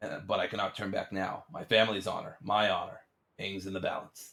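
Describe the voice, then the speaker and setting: A man puts on a raspy character voice, fairly low in pitch, and talks at a fairly quick pace. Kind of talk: theatrical journal reading. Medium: game stream. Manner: grave, dramatic.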